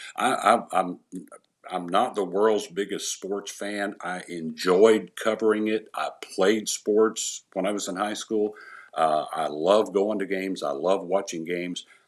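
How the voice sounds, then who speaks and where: Pitched fairly low, a man with an East Tennessee accent speaks fairly slowly and with fairly even intonation. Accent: Southern US (East Tennessee). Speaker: retired sports anchor. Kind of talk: casual interview.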